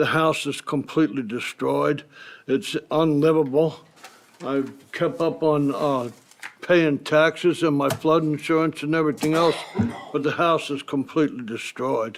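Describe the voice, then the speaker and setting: A man with an American accent and a fairly high pitch talks at a fairly slow pace with ordinary pitch variation. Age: 60s. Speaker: homeowner applying for flood buyout. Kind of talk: public comment at meeting. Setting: county commission meeting room.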